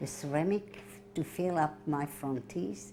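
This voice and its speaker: A woman's very deep, low voice, dark and mellow with vocal fry, moves fairly slowly through very wide pitch swings. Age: 80s+. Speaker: Holocaust survivor and author. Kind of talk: interview.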